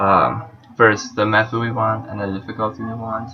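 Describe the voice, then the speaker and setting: Music plays in the background while a man speaks. He has a medium pitch and a non-native accent. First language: not English. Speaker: university student. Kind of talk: class presentation, code walkthrough.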